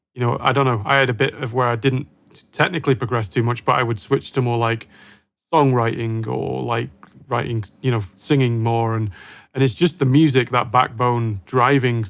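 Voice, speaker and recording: A man at medium pitch with fairly even intonation, a plain, everyday voice. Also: moderate pace. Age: younger than guest. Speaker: guitar show host. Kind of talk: interview.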